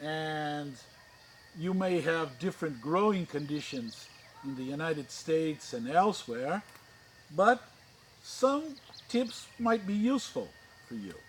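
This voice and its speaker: Speaking very slowly with very wide pitch swings, a man with an American accent has a fairly high voice. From Brazil, with childhood years in the US. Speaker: orchid grower and YouTuber. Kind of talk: channel introduction. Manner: halting, with many fillers.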